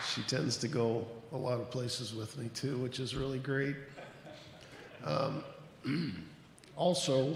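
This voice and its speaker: A soft-spoken man with fairly even intonation leaves long, frequent pauses, with audible room echo and noticeable background noise. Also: medium pitch for a man, fairly slow pace. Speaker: lodge officer, grand secretary. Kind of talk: ceremony introductions.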